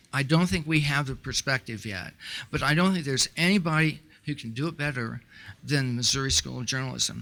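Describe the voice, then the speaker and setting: The recording is very clean, with a silent background. The voice has a bright, sharp tone. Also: man, fairly high pitch for a man, ordinary pitch variation. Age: 60s. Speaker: donor. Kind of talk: speech. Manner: halting.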